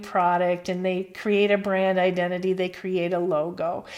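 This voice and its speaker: A woman speaks with a slight Midwestern accent in a very clean recording with a silent background. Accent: slight Midwest twang. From US Midwest. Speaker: marketing professor. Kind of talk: lecture. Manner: casual with filler words.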